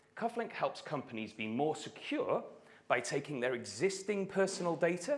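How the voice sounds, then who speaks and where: Speaking at a moderate pace with a north Welsh accent, a man uses a high pitch and very wide pitch swings. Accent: north Welsh (Gog). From Wales, Anglesey (north Wales). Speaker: startup founder. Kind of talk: startup pitch. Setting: stage with audience at stadium.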